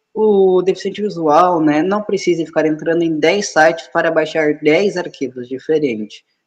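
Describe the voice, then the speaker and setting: High-pitched male speech, fairly slow, with ordinary pitch variation. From Rio Grande do Sul, Brazil. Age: 20s. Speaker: app developer and trainer. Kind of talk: live video interview. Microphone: phone held at shoulder height, wearing earphones.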